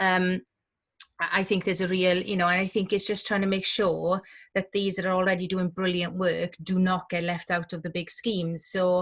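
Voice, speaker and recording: Woman in a strong Welsh accent, medium-pitched and moderately paced, on a very clean recording with a silent background. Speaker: community journalism director. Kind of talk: panel discussion. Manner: animated.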